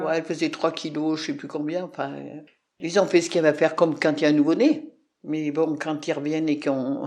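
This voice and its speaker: The delivery is fairly quick and flat in intonation, with big swings in loudness. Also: woman, very deep, low pitch for a woman. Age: 80s+. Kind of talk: interview answer.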